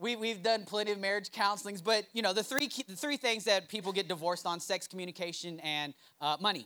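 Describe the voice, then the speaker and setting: A man's high, bright, sharp voice, raised and projected, animated in tone, with ordinary pitch variation and a fairly quick pace. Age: 30s. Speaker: pastor. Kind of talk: sermon.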